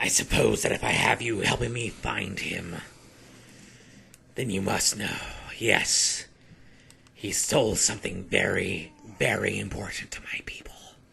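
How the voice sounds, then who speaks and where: A raspy, put-on character voice from a man, fairly low in pitch, at a moderate pace with long, frequent pauses. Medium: actual play. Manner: intense, suspicious.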